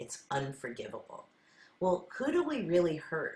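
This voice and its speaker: A somewhat breathy woman speaking at a fairly slow pace. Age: 60s. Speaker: sound healer. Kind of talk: spiritual talk.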